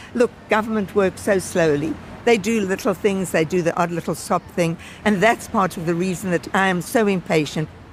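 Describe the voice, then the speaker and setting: A woman speaks at medium pitch and a moderate pace with ordinary pitch variation, over noticeable background noise. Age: 80s+. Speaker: cookery teacher and campaigner. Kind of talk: interview.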